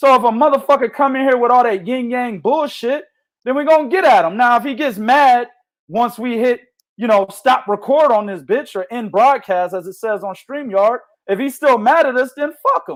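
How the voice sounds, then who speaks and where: A loud, animated man's voice at an extremely high pitch, with ordinary pitch variation and a moderate pace, on a very clean recording with a silent background. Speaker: boxing podcast host. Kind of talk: casual chat. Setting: livestream.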